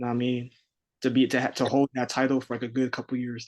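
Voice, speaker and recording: In a New York accent, a man talks at a medium pitch. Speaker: rapper. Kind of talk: casual chat.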